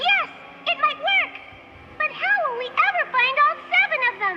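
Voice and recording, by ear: A squeaky, cartoonish character voice speaks at a moderate pace.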